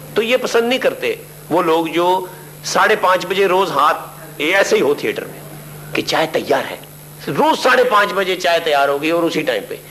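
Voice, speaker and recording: There is noticeable background noise behind this man's high-pitched voice. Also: lively intonation. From Lahore, Pakistan. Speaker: stage actor and comedian. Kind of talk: interview answer.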